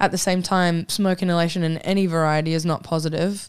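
Her delivery is very fast, fairly low in pitch for a woman, and monotone with flat intonation. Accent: Australian. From Queensland, Australia (born in New Zealand). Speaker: professional mixed martial arts fighter. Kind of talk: casual interview.

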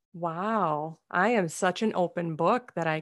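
A woman with a Minnesotan accent and fairly low pitch comes through on a very clean recording with a silent background. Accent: Minnesota. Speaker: comedian and speaker. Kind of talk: interview conversation.

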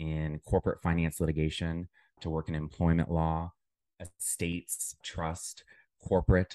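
A man with a very deep, low pitch speaks at a moderate pace in a monotone, flat way. The sound is dry and close with no echo, over a quiet background. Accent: American. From US Midwest, Dayton, Ohio. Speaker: legal operations director. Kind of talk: interview.

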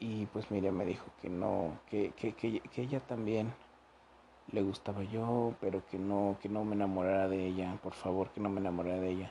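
A man's fairly low, dark and mellow voice with a Mexican accent, fairly even intonation and a fairly quick pace. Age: 20s. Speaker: podcaster. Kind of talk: personal storytelling monologue. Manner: casual, profane.

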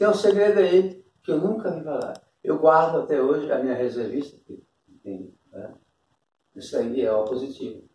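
At a moderate pace, a man with a dark, mellow tone and vocal fry speaks with very wide pitch swings, big swings in loudness and long, frequent pauses. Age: 60s. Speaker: interviewee. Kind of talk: casual chat.

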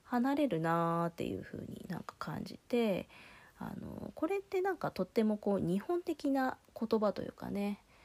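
A woman's voice moves in very wide pitch swings at a moderate pace, recorded very cleanly with a silent background and a dry, close sound with no echo. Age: 30s. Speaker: solo podcast host. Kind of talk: casual monologue. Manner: relaxed, hesitant with fillers.

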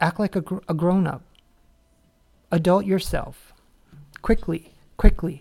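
In an American accent, a woman speaks at a medium pitch and a moderate pace. Her tone is dark and mellow. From Dallas, Texas. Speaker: podcast host. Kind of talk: angry rant, profane and scolding, about drama-prone people. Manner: heated, forceful, swearing; rambling, filler-heavy, casual.

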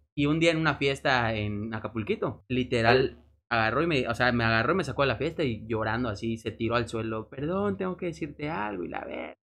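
A man with a Mexican accent, medium pitch, lively intonation and a fairly quick pace with hardly any pauses. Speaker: podcast co-host. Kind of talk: casual chat.

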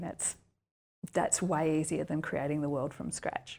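A woman with an Australian accent speaks at a fairly quick pace. Her pitch is very deep and low. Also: very clean recording, silent background. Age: 40s. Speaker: writer and university lecturer. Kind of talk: interview.

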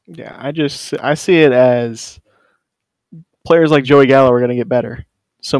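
This man has an ordinary speaking voice, pitched in the medium range. He keeps a moderate pace. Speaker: surprise guest, racer.

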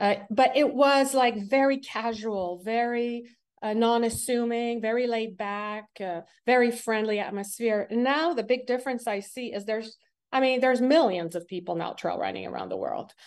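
At a moderate pace, a woman speaks in a Quebec accent with a fairly high pitch. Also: ordinary pitch variation, quiet background. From Quebec, Montreal. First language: French. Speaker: athlete and sports coach. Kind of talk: interview. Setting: call.

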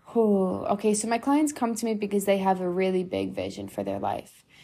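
A woman with an unremarkable speaking voice speaks in an American accent. Her pace is moderate. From New York. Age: 30s. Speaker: podcast host and spiritual mentor. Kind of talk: angry rant, passionate motivational monologue. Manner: frequently laughs, casual chatty.

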